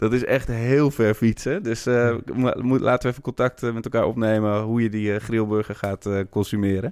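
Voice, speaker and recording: A man's medium-pitched voice at a moderate pace, with fairly even intonation. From Amsterdam. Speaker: football fan podcaster. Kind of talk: casual chat.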